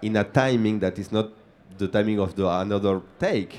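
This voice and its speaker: A man with an Argentine accent speaks at a moderate pace, his fairly low voice dark and mellow in tone. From Argentina. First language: Spanish. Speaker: film director. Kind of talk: panel Q&A. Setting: stage with audience. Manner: halting, searching for words.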